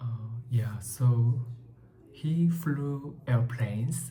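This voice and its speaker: A man with a Korean accent at medium pitch and a very slow pace, his intonation fairly even, with audible room echo and music in the background. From South Korea. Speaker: book vlogger. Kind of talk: book review talk. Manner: halting, many fillers.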